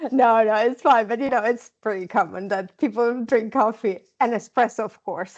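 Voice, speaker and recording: With an Italian accent, a woman talks at a fairly high pitch and a moderate pace, her intonation fairly even and her speech with hardly any pauses. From Italy, Milan. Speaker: nurse researcher. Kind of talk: podcast interview. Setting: video call.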